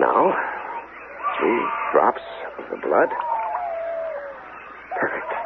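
Using a put-on character voice, a man speaks at a low pitch and a very slow pace with very wide pitch swings and vocal fry, over faint background noise.

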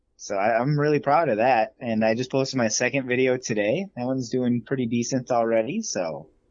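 A man talks at a fairly quick pace with hardly any pauses. His voice is an unremarkable speaking voice, medium in pitch with ordinary pitch variation. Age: 30s. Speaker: podcast co-host. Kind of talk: casual chat.

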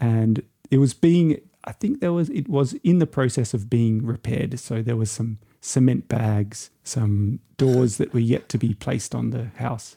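In an Australian accent, a man speaks at a fairly slow pace with a dark, mellow, somewhat breathy tone, medium pitch and ordinary pitch variation. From Australia, Byron Bay. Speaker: traveller. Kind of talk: casual chat.

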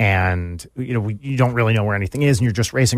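Over a silent background in a very clean recording, a man speaks at a very fast pace. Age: 40s. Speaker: musician and YouTube personality. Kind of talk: casual chat. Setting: studio.

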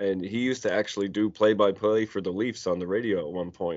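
This is an ordinary speaking voice from a man. It stays fairly low in pitch, with fairly even intonation. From Nova Scotia, Canada (Cole Harbour). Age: 40s. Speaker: hockey podcaster and youth hockey coach. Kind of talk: casual chat.

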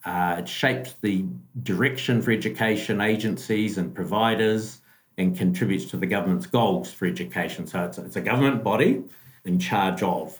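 With a New Zealand accent, a man talks at a fairly quick pace, his fairly low voice carrying lively intonation. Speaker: school business manager. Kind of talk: casual interview. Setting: video call across time zones.

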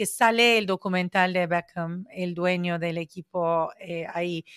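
A woman of medium pitch talks at a very slow pace. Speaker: podcast host. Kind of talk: casual chat.

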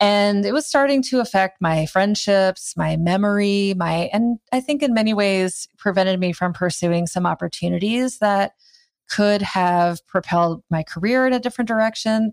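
A woman with an American accent speaks at a moderate pace and a medium pitch, with ordinary pitch variation and very even loudness, in an unremarkable speaking voice on a very clean recording with a silent background and a dry, close sound with no echo. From US Midwest (Iowa). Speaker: writer, yoga and meditation teacher. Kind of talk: interview.

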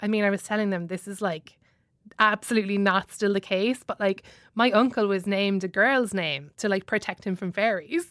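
In an Irish accent, a woman at medium pitch speaks with fairly even intonation in a very clean, dry, close recording with no echo and a silent background. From Ireland. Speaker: comedian. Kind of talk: casual chat. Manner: fast talker.

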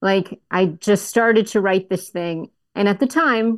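In a normal speaking voice, a woman with an American accent talks at a medium pitch with ordinary pitch variation, the sound dry and close with no echo against a quiet background. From Florida, US (Melbourne Beach). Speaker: writer and producer. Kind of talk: casual interview.

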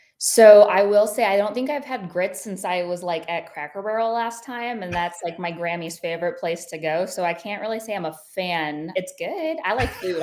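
With an American accent, a woman with an unremarkable speaking voice talks at a moderate pace and medium pitch with ordinary pitch variation. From Ohio, US Midwest. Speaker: entrepreneur and military spouse. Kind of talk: casual interview.

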